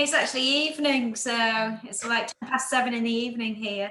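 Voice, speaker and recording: Over noticeable background noise, a woman with an English accent speaks in a high pitch with fairly even intonation. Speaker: medical researcher and amateur astronomer. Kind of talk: casual chat.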